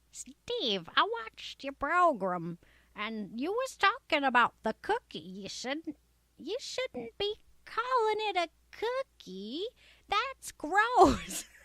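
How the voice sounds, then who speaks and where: In a put-on character voice, a female-sounding speaker goes very slowly at an extremely high pitch with very wide pitch swings. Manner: nitpicking, scolding.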